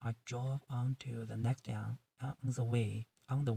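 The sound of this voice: Over a quiet background, the intonation stays fairly even in an unforced reading voice.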